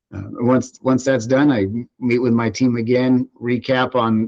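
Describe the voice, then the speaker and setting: This man speaks with an American accent. His pitch is medium. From California, Central Valley (Fresno). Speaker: water district general manager. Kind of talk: interview. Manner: hesitant, many fillers.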